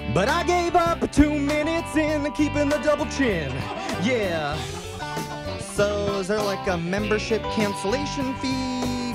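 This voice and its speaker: Loud music plays in the background while a man talks in a dry sound with no echo. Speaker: radio show guest or host. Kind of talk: comedic radio banter. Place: studio. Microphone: studio mic.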